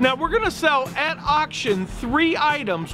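A man speaks in a raised, projected voice pitched extremely high. Noticeable background noise runs behind him. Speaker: auctioneer and real estate broker. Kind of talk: promotional auction announcement to camera. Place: street.

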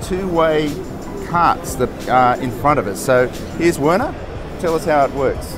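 Over clear music in the background, a man speaks at a moderate pace with ordinary pitch variation and a dry sound with no echo. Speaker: logistics consultant host. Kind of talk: walkthrough commentary. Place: hall. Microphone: phone near.

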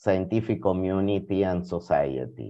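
In a Spanish accent, a man speaks with a dark, mellow tone. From Argentina. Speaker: philosopher and historian of science; presenter. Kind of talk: reading prepared talk. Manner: formal.

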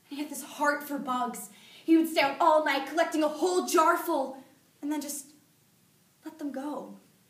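High-pitched woman's voice, monotone and flat, at a moderate pace with audible room echo. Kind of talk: dramatic monologue performance. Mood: grieving, angry, pleading. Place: classroom. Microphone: camera far.

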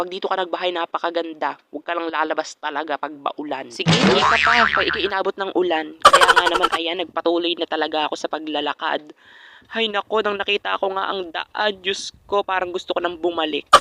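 Hardly any pauses break up the fairly quick delivery. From Philippines, rural mountain barangay. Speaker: vlogger. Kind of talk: vlog voiceover narration. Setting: outdoors, mountain trail in rain. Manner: playful, animated.

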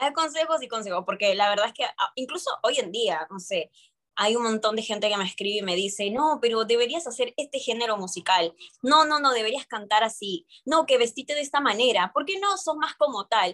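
A woman talks at a fairly quick pace with a fairly high pitch, a bright, sharp tone and lively intonation, against a quiet background. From mixed, born in Peru, long in Argentina. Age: 20s. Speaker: urban music singer; interviewee. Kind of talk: interview. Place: home room. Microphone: video call.

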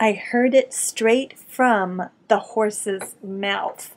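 Fairly even intonation marks this very slow delivery in an American accent. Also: woman, fairly high pitch for a woman. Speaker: voice actor. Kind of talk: English lesson talk to camera. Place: home room. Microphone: webcam.

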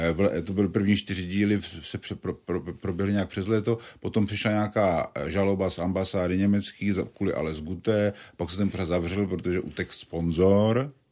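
Against a quiet background, a man speaks at a fairly low pitch. His dark, mellow tone has fairly even intonation. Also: moderate pace. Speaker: journalist and satirist. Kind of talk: interview. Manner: halting.

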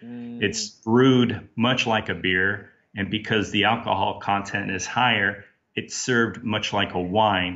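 A man with an American accent talks at a fairly slow pace. His pitch is fairly low and his intonation fairly even. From Portland, Oregon, US. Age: 40s. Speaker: sake brewer and English teacher. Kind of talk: interview answers, explanatory.

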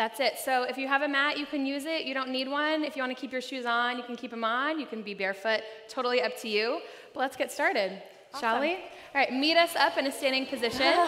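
A woman's raised, projected voice at a very fast pace, with ordinary pitch variation. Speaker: fitness instructor. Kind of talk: class instruction. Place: hall. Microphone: headset.

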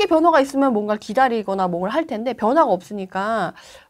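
Fairly quick speech from a woman with very wide pitch swings, against a quiet background. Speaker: real estate investment expert. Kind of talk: interview answer. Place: studio.

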